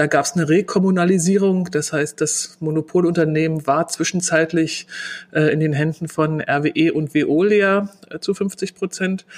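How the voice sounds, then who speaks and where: In a Berlin accent, a woman talks at a fairly slow pace and fairly low pitch with fairly even intonation. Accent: Berlin dialect, audible. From Berlin, Germany. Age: 40s. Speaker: customer service manager. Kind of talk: interview.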